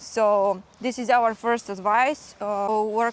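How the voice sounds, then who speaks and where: A woman speaks with a Slavic accent. Her intonation stays monotone and flat. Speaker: vlogger, parent. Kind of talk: casual vlog chat. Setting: outdoors in a forest. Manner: halting, many fillers.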